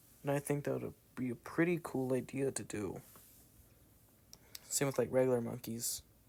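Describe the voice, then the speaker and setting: This man has a dark, mellow tone, an American accent and ordinary pitch variation. He leaves long, frequent pauses. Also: medium pitch for a man, moderate pace, very clean recording, silent background. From US South. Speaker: gaming YouTuber. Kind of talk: casual gameplay chat.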